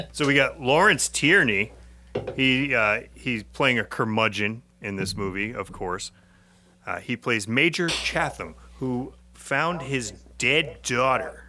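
A man speaks with an American accent in a bright, sharp tone. His pace is very slow, his intonation lively. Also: medium pitch for a man. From Massachusetts. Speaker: podcast host. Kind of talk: casual chat.

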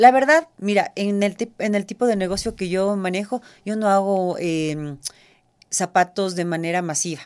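A plain, everyday voice from a woman, medium in pitch, fairly slow, with ordinary pitch variation. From Ecuador. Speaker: shoe designer. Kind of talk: interview. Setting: studio.

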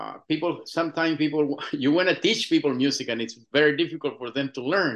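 A man with a Chilean accent has a fairly high pitch. His pitch varies in an ordinary way, and the background is quiet. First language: Spanish. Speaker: musician and filmmaker. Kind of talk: interview. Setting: phone or video call from Chile. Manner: halting.

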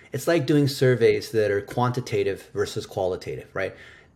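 Speaking with an American accent, a man keeps a fairly quick pace. His voice is medium in pitch and somewhat breathy. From United States. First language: Chinese. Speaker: digital marketing expert. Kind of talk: interview. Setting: remote call.

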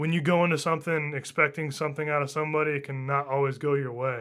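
In a very clean recording with a silent background, a man with an American accent talks very fast in a fairly high pitch, his tone bright and sharp and his intonation flat and monotone. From northern US. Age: 20s. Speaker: audio engineer. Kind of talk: casual chat. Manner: fast talker.

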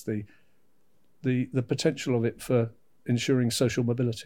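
Talking at a fairly quick pace, a man with a British accent speaks at medium pitch on a very clean recording with a silent background. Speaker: education adviser. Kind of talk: casual interview.

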